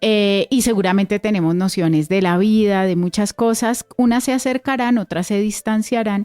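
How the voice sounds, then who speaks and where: A woman at a moderate pace with medium pitch and ordinary pitch variation, very even loudness, hardly any pauses, a dark, mellow tone, and a dry, close sound with no echo. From Colombia, Cundiboyacense highlands. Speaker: radio host. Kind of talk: radio interview.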